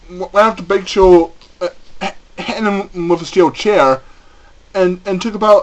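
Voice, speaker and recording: A fairly slow delivery over noticeable background noise. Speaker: wrestling event reviewer. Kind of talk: casual spoken review. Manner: stuttering, hesitant.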